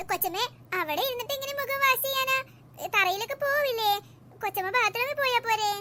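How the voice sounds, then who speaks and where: A woman uses a cartoonish character voice at an extremely high pitch. She talks at a moderate pace. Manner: cheeky, complaining.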